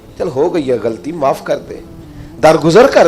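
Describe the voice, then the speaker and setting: Music plays in the background as a man speaks in a passionate tone. His pitch is high. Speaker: Islamic scholar preacher. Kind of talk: Islamic sermon (bayan) to an audience. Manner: passionate, emphatic, rhetorical.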